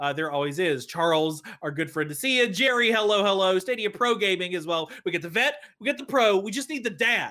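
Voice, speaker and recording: Raising and projecting his voice, a man with a high pitch and a bright, sharp tone speaks at a fairly quick pace with very wide pitch swings. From East Tennessee. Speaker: podcast host. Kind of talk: casual chat. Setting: video call.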